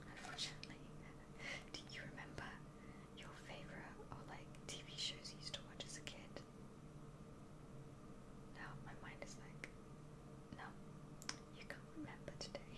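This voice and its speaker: Through loud background noise, a woman talks at a moderate pace with long, frequent pauses. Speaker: ASMR creator. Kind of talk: ASMR whispered talk to camera, soft-spoken haul video. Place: home room.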